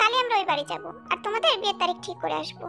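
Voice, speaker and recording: A woman squeaks through a put-on character voice at a very fast pace. Clear music plays in the background. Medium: read story. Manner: authoritative.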